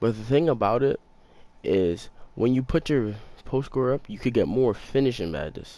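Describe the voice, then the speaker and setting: A quiet man's voice, dark and mellow in tone, with lively intonation. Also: moderate pace. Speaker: gaming YouTuber. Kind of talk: gameplay tutorial. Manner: quiet, talking low; casual, slangy.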